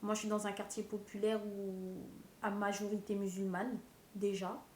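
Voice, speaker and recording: A woman's medium-pitched voice with monotone, flat intonation at a fairly slow pace. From Seine-Saint-Denis, Paris suburbs. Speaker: documentary interviewee. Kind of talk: interview testimony.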